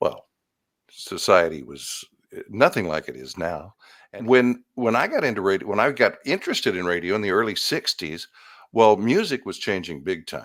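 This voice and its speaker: Vocal fry marks this man's fairly low voice, which moves through very wide pitch swings. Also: moderate pace. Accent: American. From Sacramento, California. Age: 70s. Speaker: veteran radio host and programmer. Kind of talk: interview. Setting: video call.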